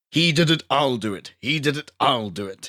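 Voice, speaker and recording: A man puts on a character voice with a pompous tone. His pitch sits in the medium range. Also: moderate pace. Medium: read story.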